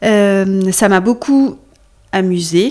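Her voice stays at a medium pitch for a woman, and its pitch varies in an ordinary way. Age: 40s. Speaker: recruitment firm founder and CEO. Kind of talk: interview conversation. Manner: hesitant, many fillers.

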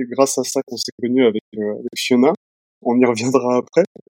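A man's plain, everyday voice at a medium pitch and moderate pace, with a dry, close sound with no echo. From Nantes, western France. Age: 30s. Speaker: purchasing manager, partner of patient. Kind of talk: casual interview.

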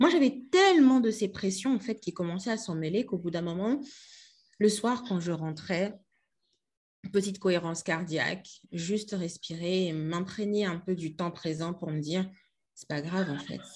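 A woman speaks at medium pitch in a somewhat breathy voice with ordinary pitch variation. Her loudness swings widely, and she leaves long, frequent pauses. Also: moderate pace, quiet background. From DR Congo, Kinshasa. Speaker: storytelling coach and entrepreneur. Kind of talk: casual interview.

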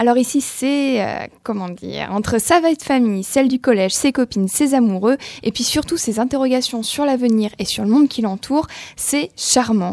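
The woman's pitch is high, with ordinary variation. She speaks at a moderate pace. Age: 20s. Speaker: literary columnist. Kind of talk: radio book review.

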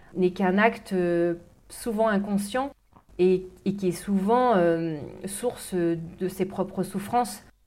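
A woman talks at a very slow pace and a medium pitch. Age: 40s. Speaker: life coach. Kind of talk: interview. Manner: hesitant with fillers.

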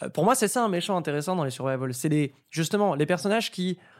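A man with a plain, everyday voice, lively intonation and a fairly quick pace in a very clean recording with a silent background. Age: 20s. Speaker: host and commentator, horror and fighting game fan. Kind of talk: casual chat.

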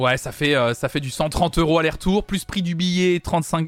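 High-pitched male voice at a fairly slow pace, ordinary pitch variation, dry and close with no echo, very clean recording over a silent background. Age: 20s. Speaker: music news streamer. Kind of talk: casual live-stream chat. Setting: live stream. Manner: animated.

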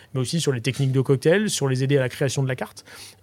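The man has a fairly high pitch and a dark, mellow tone. His intonation stays fairly even. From Brittany, Guérande. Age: 40s. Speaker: bartender and bar owner. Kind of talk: interview. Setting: in a bar.

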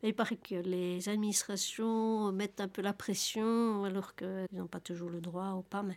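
At a fairly slow pace, a woman speaks with monotone, flat intonation at medium pitch, recorded very cleanly over a silent background. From Belgium. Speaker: interviewee on social welfare. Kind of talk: testimony. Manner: halting.

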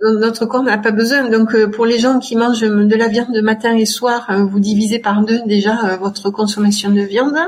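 Over noticeable background noise, a woman with a fairly high pitch speaks at a fairly slow pace in a flat monotone, with very even loudness and hardly any pauses. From France, Tarn (Albi area). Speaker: dentist and environmental health advocate. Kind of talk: interview.

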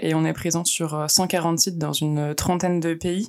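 A woman with a fairly low pitch talks at a fairly slow pace in a normal speaking voice. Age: 20s. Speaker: international mobility officer. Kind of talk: interview.

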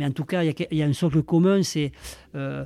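Fairly even intonation in a man's fairly high voice, dark and mellow in tone. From Bigorre, southwest France. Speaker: rugby coach and educator. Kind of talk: interview. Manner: halting.

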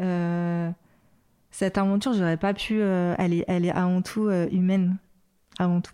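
Here a woman speaks at a fairly low pitch in a dark, mellow tone. Her intonation is fairly even, on a very clean recording with a silent background. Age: 40s. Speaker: music label manager. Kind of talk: interview. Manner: halting.

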